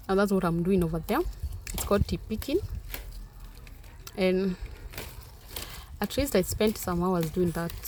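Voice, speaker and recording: A woman with a Kenyan accent, ordinary pitch variation, a moderate pace and long, frequent pauses. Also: medium pitch for a woman. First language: Kenyan mother tongue. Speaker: vlogger. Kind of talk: vlog narration. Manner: casual.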